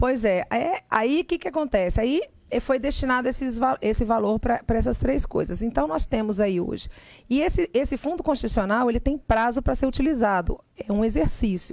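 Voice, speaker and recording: High-pitched and lively in intonation, a woman speaks at a very even loudness. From Brasília, Brazil. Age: 40s. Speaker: politician. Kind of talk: radio interview. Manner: fast.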